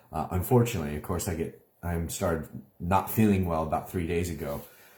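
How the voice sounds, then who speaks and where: Talking at a fairly quick pace, a man has a very deep, low voice with a dark, mellow, somewhat breathy tone. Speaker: online minister. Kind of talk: live video update. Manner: hesitant, many fillers.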